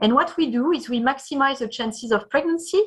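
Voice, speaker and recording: A woman speaks in a French accent. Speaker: startup founder and CEO. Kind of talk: pitch presentation. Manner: halting.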